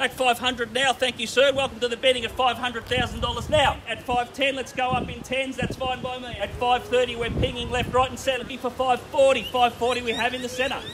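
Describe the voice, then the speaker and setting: There is noticeable background noise. A man speaks at an extremely high pitch with an Australian accent. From Australia (Melbourne). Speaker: real estate auctioneer. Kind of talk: rapid-fire auction bid calling. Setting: outdoors at property auction with crowd. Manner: loud, showman-like crowd-rousing. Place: street. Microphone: camera far.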